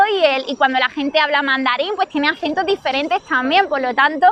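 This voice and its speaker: A woman talks at a fairly quick pace with ordinary pitch variation, in a dry, close sound with no echo and noticeable background noise. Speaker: YouTuber living abroad. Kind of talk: casual chat.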